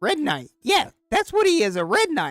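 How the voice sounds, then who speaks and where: This is a put-on character voice with a high pitch. It moves at a moderate pace. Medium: actual play. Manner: rambling, stammering, scattered.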